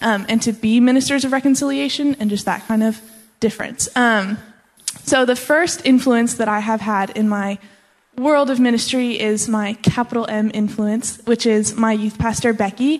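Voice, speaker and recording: In an American accent, a woman with an unremarkable speaking voice and a fairly high pitch talks at a moderate pace with ordinary pitch variation. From Colorado. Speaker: church ministry intern. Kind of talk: testimony. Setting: church.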